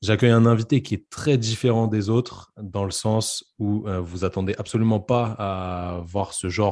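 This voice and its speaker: A man in an unremarkable speaking voice talks at a fairly slow pace and fairly low pitch, with fairly even intonation and hardly any pauses, against a quiet background. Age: 20s. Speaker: podcast host, physiotherapist. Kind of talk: casual interview chat; scripted podcast intro.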